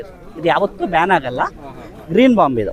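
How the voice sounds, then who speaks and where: A man speaks over noticeable background noise. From India, Puttur, Dakshina Kannada. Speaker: farmer and inventor selling his product. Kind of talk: sales pitch and product demonstration.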